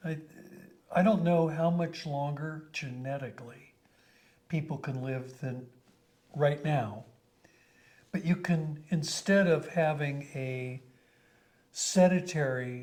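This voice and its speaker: A man with an American accent speaks somewhat breathily at a fairly high pitch with ordinary pitch variation. His pace is very slow, with long, frequent pauses. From Colorado, US. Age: 70s. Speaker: company founder. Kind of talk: interview.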